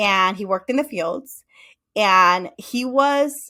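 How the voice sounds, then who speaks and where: Lively intonation in a Spanish accent, on a very clean recording with a silent background. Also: woman. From Mexico. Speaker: psychotherapist. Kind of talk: interview.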